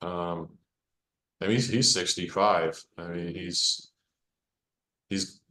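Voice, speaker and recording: With an American accent and very deep, low pitch, a man speaks at a very slow pace with long, frequent pauses, fairly even intonation and big swings in loudness. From US South, Arkansas. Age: 60s. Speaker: rock guitarist. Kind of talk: casual interview. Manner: halting, repeats words.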